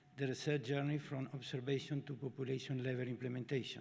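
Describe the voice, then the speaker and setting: A man speaks with a Spanish accent and fairly even intonation. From Argentina. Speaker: obstetrician and professor. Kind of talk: lecture. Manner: halting.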